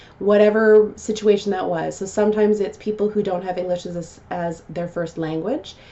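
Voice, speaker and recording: A woman with a medium pitch speaks at a moderate pace, barely pausing. Her intonation stays fairly even over noticeable background noise. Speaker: customer service trainer and vlogger. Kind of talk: vlog talk to camera.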